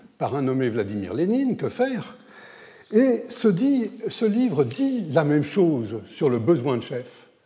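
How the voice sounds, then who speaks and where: Pitch swings very widely in a dark, mellow tone at a very slow pace. Audible room echo surrounds the voice. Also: man. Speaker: historian speaking at an academic conference. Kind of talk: conference lecture. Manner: hesitant, many fillers.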